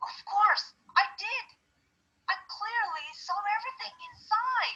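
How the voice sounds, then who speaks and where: An extremely high, squeaky put-on character voice at a fairly slow pace. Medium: read story. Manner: insistent.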